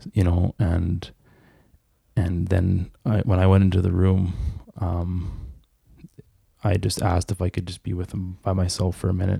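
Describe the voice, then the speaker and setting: A man's very deep, low voice with a Canadian prairie accent, dark and mellow in tone, somewhat breathy, monotone and flat, at a moderate pace with long, frequent pauses. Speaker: guest sharing life story. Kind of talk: testimony.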